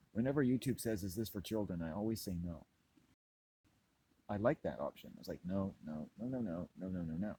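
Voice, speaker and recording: Lively intonation and a fairly quick pace carry a dark, mellow, relaxed tone. Long, frequent pauses break up the speech. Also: man, fairly low pitch for a man. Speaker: YouTube vlogger. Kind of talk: casual vlog monologue. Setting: outdoors, walking. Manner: rambling, relaxed.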